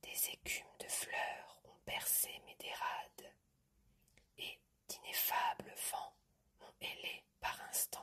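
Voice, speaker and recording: Whispering at a very slow pace, a woman leaves long, frequent pauses as her loudness swings widely. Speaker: ASMR content creator. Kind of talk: ASMR whispered poetry reading. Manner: whispered, soft-spoken.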